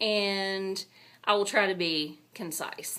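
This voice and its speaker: With a strong Texan accent, a woman talks at a medium pitch. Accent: thick Texan. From Texas. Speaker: booktuber and university public relations director. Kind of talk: casual video blog. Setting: office. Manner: casual, chatty.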